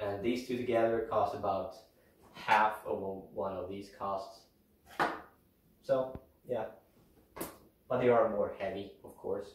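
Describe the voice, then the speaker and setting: A man with a Swedish accent speaks at a fairly slow pace with long, frequent pauses. His loudness swings widely, and the room has audible echo. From Sweden. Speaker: outdoor vlogger. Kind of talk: gear tutorial. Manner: casual, hesitant with fillers.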